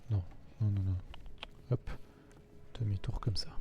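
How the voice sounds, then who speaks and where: Noticeable background noise sits behind a man's voice. He has a fairly low pitch and ordinary pitch variation. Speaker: gaming video creator. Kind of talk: let's play commentary. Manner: casual, muttering to himself.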